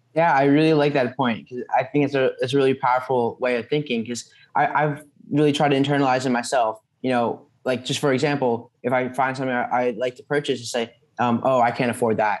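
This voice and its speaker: A man speaks at a very fast pace in a monotone, flat intonation. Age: young. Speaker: podcast host. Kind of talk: interview. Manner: halting. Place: home room. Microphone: webcam.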